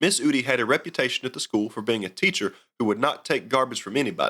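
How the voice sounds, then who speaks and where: With a strong Southern accent, a man talks at a very fast pace in a bright, sharp tone. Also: very clean recording, silent background. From US South. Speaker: outdoors podcast host. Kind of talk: scripted narration.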